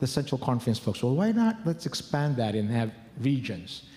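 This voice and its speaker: This man has a dark, mellow tone that is somewhat breathy. He moves at a fairly quick pace. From Philippines. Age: 50s. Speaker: church leader. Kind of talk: conference talk.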